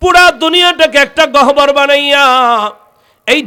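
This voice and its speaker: A man speaks in a bright, sharp tone that sounds animated. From Bangladesh, Munshiganj. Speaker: Islamic preacher, mosque khatib. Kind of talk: sermon. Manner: loud, animated.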